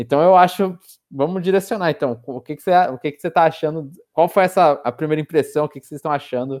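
Against a silent background, this very clean recording carries speech at a very fast pace. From Brazil, São Paulo. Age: 20s. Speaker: podcast co-host. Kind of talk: casual chat.

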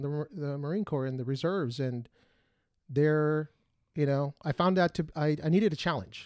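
A man talks in a Spanish accent. His pitch is fairly high, with ordinary pitch variation. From Mexican family, grew up speaking Spanish. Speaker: podcast co-host, former Marine. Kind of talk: casual chat.

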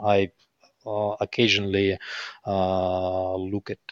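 The sound is dry and close, with no echo. A man speaks over a quiet background. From Ukraine, Kyiv. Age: 40s. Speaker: business executive. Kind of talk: interview. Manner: halting, many fillers.

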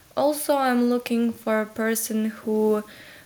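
Speaking very slowly, a woman with a Ukrainian accent uses a fairly high pitch. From Ukraine, Lviv. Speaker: exchange student alumna. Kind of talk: interview.

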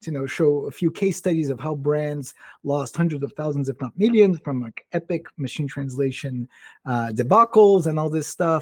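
With a Portuguese accent, a man speaks at a moderate pace and fairly high pitch with ordinary pitch variation, in a dry, close sound with no echo. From Brazil. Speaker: tech company founder. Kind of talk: interview. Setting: live stream.

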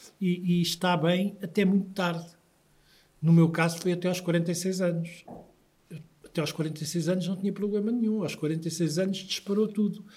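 A man talks fairly slowly in a high, monotone voice with flat intonation. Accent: European Portuguese. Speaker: patient association president. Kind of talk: interview.

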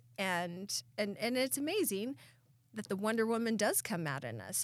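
Here is an unremarkable speaking voice, a woman with an American accent at medium pitch. Her intonation is lively, and the recording is very clean with a silent background. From Southeast Idaho. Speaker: podcast co-host. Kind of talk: casual chat.

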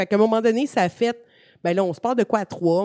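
On a very clean recording with a silent background and a dry, close sound with no echo, a woman with a dark, mellow tone speaks with lively intonation. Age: 30s. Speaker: gaming communications director and streamer. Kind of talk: casual interview.

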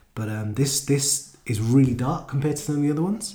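A man talks at a fairly quick pace with lively intonation and a dark, mellow tone. His voice is somewhat breathy, and room echo is audible. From London. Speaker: gaming podcast co-host. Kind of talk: casual chat.

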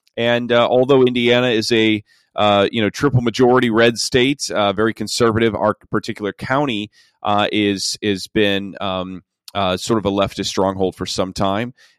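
A man with a plain, everyday voice speaks at a moderate pace, his fairly low pitch held in fairly even intonation. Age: 40s. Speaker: pastor. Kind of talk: interview.

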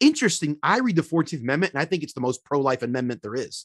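With a quiet background and a dry, close sound with no echo, a man talks in an American accent. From Philadelphia, US. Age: 30s. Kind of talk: interview conversation. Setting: podcast recording. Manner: animated.

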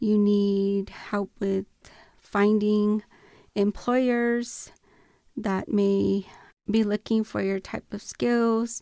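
A woman with an American accent, very slow and marked by long, frequent pauses, medium in pitch with fairly even intonation and a dark, mellow tone, in a very clean recording with a silent background and a dry, close sound free of echo. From Tohono O'odham Nation, southern Arizona. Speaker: domestic violence advocate and Marine Corps veteran. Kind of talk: interview. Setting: studio.

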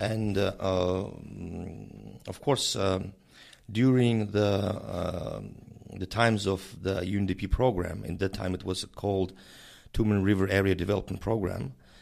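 A man's very deep, low voice in a Mongolian accent, with fairly even intonation and a fairly slow pace. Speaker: director of an intergovernmental organization. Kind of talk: interview. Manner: halting, many fillers.

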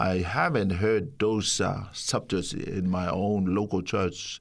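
A man's very deep, low voice with a Samoan accent, fairly even intonation and a very slow pace. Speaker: pastor. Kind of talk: testimony. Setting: studio. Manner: halting.

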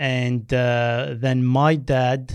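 His intonation holds fairly even. The man's voice sits at a medium pitch. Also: quiet background. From Algeria, Berber village; schooled partly in France. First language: Berber (also French, Arabic). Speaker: former Olympic runner, athletics coach. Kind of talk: interview. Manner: hesitant, many fillers.

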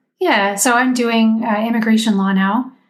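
The speaker is a woman. Her delivery is somewhat breathy. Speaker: lawyer, semi-retired. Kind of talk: casual chat.

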